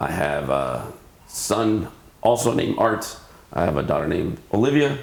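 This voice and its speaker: An American accent at a moderate pace with very wide pitch swings, amid noticeable background noise and audible room echo. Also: man, fairly low pitch for a man. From California, Santa Barbara. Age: 50s. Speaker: PE teacher and baseball coach. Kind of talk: interview.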